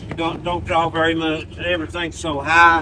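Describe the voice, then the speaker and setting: Fairly high-pitched man with an Appalachian accent, fairly slow pace, noticeable background noise. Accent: Appalachian Southern US. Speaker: local mountain resident. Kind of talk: casual chat. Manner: halting.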